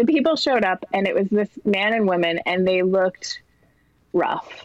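A woman at medium pitch, her voice swinging very widely in pitch, dry and close with no echo. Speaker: comedy writer. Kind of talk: casual chat.

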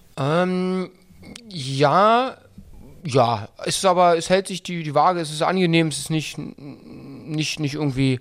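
Here a man with a fairly high voice speaks. His pace is very slow, with ordinary pitch variation. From Berlin-Brandenburg. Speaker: football coach. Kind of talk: interview. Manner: hesitant with many fillers.

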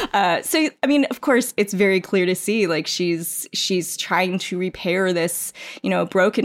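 Speaking at a moderate pace, a woman with an American accent has a medium pitch, ordinary pitch variation and vocal fry. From New York City suburbs, US. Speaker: teacher and librarian, podcast panelist. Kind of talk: casual chat.

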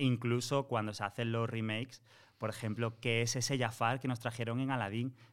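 In a very clean recording with a silent background, a man with a normal speaking voice and medium pitch talks at a fairly quick pace. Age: 30s. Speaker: Disney content creator. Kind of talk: casual chat.

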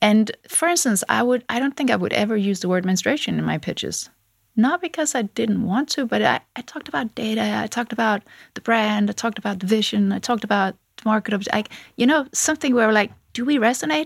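In a very clean recording with a silent background and a dry, close sound free of echo, a woman talks very fast at a fairly high pitch, her intonation lively and her voice showing vocal fry. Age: 40s. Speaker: tech founder. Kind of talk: interview.

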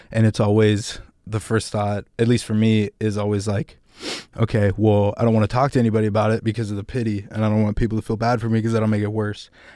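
A man talks very fast in a fairly low, dark, mellow voice. His intonation is monotone and flat, and the recording is very clean with a silent background. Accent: American. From California. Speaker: music producer and rapper. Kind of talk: casual interview chat.

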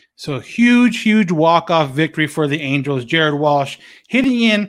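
A man at a moderate pace with ordinary pitch variation on a very clean recording with a silent background. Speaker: podcast host. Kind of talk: sports commentary. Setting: solo recording. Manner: recaps play by play, mixing upbeat narration with casual asides; conversational, with filler words.

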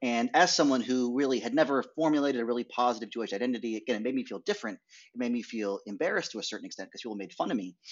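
Very fast speech from a man with an American accent, medium pitch and ordinary pitch variation. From US Northeast (rural Maine). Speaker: documentary filmmaker. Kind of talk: interview. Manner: halting.

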